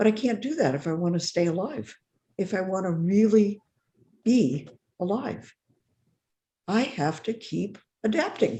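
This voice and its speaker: A somewhat breathy voice with a dark, mellow tone, very wide pitch swings and long, frequent pauses. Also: woman, medium pitch for a woman, fairly slow pace. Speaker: discussion group leader. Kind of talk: casual discussion.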